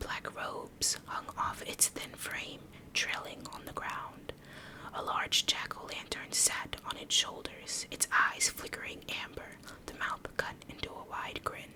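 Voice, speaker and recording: A woman whispers at a fairly slow pace, with big swings in loudness. Noticeable background noise sits behind her. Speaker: streamer, gaming ASMR creator. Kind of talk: ASMR reading of a scary story from Reddit. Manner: soft, hushed, slow.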